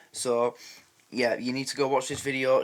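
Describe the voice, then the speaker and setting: A man with a Yorkshire accent, fairly high in pitch, at a fairly quick pace. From Yorkshire, England. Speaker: reaction video host. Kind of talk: casual talk to camera.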